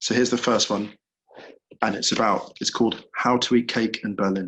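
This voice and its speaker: A quiet man's voice at a moderate pace, with fairly even intonation. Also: medium pitch for a man. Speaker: author. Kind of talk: reading aloud.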